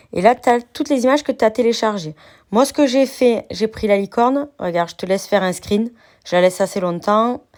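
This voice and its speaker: This woman has an ordinary speaking voice, fairly high in pitch, with lively intonation. She talks at a moderate pace on a very clean recording with a silent background. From southern France. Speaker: crafts youtuber. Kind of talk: software tutorial.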